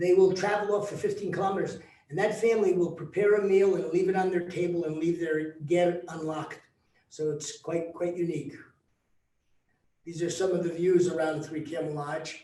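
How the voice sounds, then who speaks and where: A man's high-pitched voice, dark and mellow in tone, with fairly even intonation, a moderate pace and audible room echo. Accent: New Jersey. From US, New Jersey, Mongolian-American community. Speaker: travel company founder. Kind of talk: presentation to tour group. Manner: halting, many fillers.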